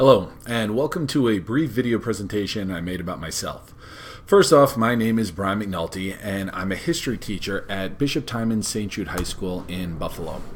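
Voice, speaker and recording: Heard over noticeable background noise, a man with a Long Island accent speaks at a moderate pace, his pitch fairly low with ordinary variation. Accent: Long Island New York accent, noticeable. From New York, Long Island (Long Beach). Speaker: history teacher. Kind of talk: scripted self-introduction presentation.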